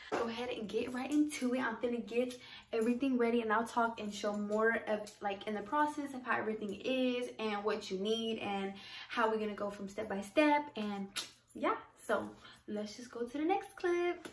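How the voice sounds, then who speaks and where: Speaking at a moderate pace, a woman with fairly high pitch and ordinary pitch variation is heard with audible room echo and light background noise. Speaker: cooking vlogger. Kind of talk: casual cooking tutorial. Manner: chatty, informal. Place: kitchen. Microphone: phone near.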